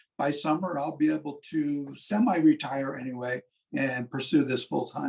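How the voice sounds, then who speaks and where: With lively intonation and a fairly high pitch, a man speaks at a moderate pace in a plain, everyday voice. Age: 60s. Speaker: physician assistant and business owner. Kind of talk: interview.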